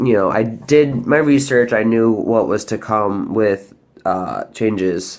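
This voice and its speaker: Over a silent background, this very clean recording captures a man speaking. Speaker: vlogger. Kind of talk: personal update vlog. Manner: hesitant, many fillers.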